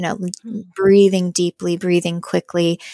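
Recorded with a dry, close sound and no echo, a normal speaking voice shows ordinary pitch variation. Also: woman. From US West, Boise, Idaho. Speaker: music therapist and children's singer-songwriter. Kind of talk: podcast interview.

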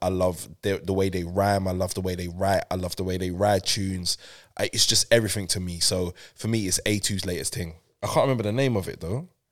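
In a London accent, a man talks at a fairly quick pace in a very deep, low voice, on a very clean recording with a silent background. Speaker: radio presenter and broadcaster. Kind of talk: casual chat. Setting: studio. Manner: animated.

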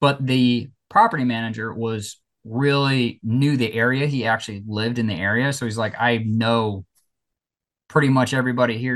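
A medium-pitched male voice with fairly even intonation against a quiet background. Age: 30s. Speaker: real estate investor and former police officer. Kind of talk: interview. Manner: halting.

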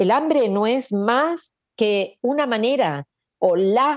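Her voice moves through very wide pitch swings as this woman speaks. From Argentina. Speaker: author and therapist. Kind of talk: interview.

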